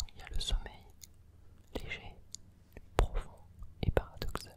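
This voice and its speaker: The man whispers, keeping to a fairly slow pace. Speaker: ASMR creator. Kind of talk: ASMR quiz read to help sleep. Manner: slow, close whispering. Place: home room. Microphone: studio mic.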